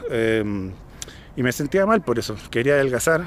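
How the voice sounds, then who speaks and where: A man at a moderate pace with a Chilean accent, dry sound with no echo, and light background noise. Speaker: vlogger. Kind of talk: casual vlog monologue. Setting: outdoors, hill park after cycling. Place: open country. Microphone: phone near.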